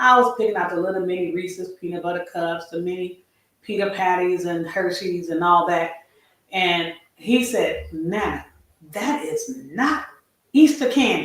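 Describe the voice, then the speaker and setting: The speech moves at a moderate pace with lively intonation, and audible room echo surrounds it. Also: woman, medium pitch for a woman. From California. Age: 50s. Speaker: retiree lifestyle vlogger. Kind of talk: livestream chat. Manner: rambling casual.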